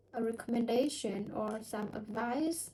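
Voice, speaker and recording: A woman speaks with a non-native accent. Her pitch sits fairly high. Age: 20s. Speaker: English learner. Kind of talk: casual chat. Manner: halting.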